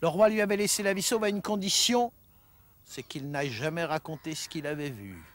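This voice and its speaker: Dry and free of echo, a man's high-pitched voice moves at a fairly quick pace, with very wide pitch swings and big swings in loudness. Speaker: traditional storyteller. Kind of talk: folk tale storytelling. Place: waterside.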